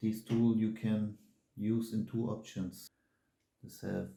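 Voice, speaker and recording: At a very slow pace, a man with a non-native accent speaks in a fairly low voice with a dark, mellow tone. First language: not English. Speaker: watch tool reviewer. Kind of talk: product review tutorial. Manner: halting, self-correcting.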